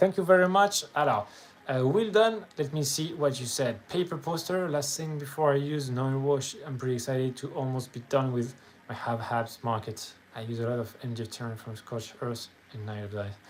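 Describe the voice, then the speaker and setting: A man speaks with a French accent at a moderate pace. His intonation is lively. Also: medium pitch for a man. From France. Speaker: miniature painter streamer. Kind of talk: casual live stream chat. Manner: halting.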